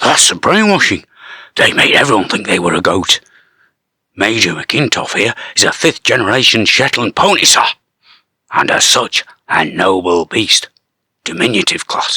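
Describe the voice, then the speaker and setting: Using a put-on character voice that is raspy and medium-pitched, a man talks at a moderate pace with long, frequent pauses. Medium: read story. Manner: deferential, repeatedly says sir.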